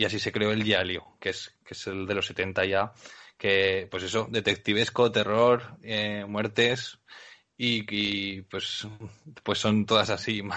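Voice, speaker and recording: Speaking at a very slow pace, a man uses a fairly low pitch with monotone, flat intonation. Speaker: podcast co-host. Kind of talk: casual chat.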